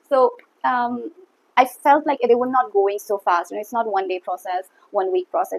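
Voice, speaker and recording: A woman speaks in an Assam accent with lively intonation at a moderate pace. The sound is dry and close, with no echo. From India, Assam. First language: Assamese. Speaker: YouTuber. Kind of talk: casual talk to camera. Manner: hesitant, many fillers.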